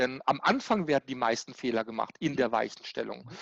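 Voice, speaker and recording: At a moderate pace, a man talks in an ordinary speaking voice with ordinary pitch variation, the sound dry and close with no echo over a quiet background. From Germany, Baden (Karlsruhe). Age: 40s. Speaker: tax and business consultant. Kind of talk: interview.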